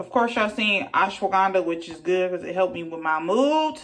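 A woman talks at a moderate pace with a fairly low pitch. Her tone is fairly bright and her intonation lively.

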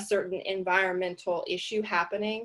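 Her intonation monotone and flat, a woman is talking. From Louisiana. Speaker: artist and activist. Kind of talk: presentation; presentation and discussion talk. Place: home room. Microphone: video call.

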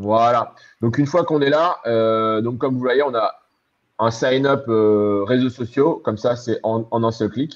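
Against a quiet background, a man talks at a fairly slow pace with ordinary pitch variation. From Normandy, France (born in Caen); France. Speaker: web developer and designer, entrepreneur; guest. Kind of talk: live-streamed interview. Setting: online live stream, video call. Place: home room. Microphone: video call.

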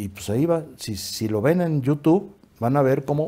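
His voice has a dark, mellow tone and fairly high pitch, and this man moves through very wide pitch swings. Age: 80s+. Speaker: acting school director. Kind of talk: interview. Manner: halting. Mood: relaxed anecdotal storytelling. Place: studio. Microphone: lapel.

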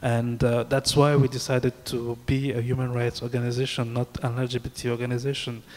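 A man talks at a fairly quick pace with hardly any pauses. His intonation stays flat and monotone. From Cameroon. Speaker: human rights activist, NGO director; panelist. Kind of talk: panel discussion. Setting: stage with audience. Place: hall. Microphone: handheld.

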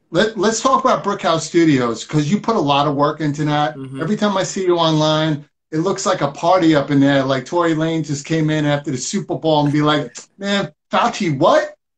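A man with a fairly high pitch speaks at a fairly quick pace with ordinary pitch variation against a quiet background. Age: 40s. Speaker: online talk show host. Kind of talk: casual interview chat. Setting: live video stream.

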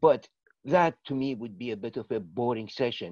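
A man's voice is recorded dry with no echo against a quiet background. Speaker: presenter. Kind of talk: informal session introduction to online audience. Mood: relaxed, friendly. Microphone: video call.

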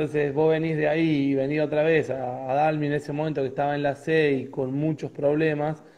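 A man's fairly high voice at a fairly quick pace, monotone and flat, with hardly any pauses and noticeable background noise. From Argentina, Córdoba province (Río Tercero). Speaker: football coach, former player. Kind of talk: interview. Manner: hesitant, many repetitions.

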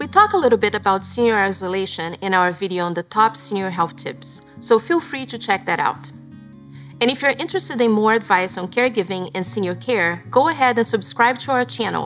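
Faint music sits in the background. Over it, a woman speaks at a fairly quick pace. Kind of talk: informational explainer to camera. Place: studio.

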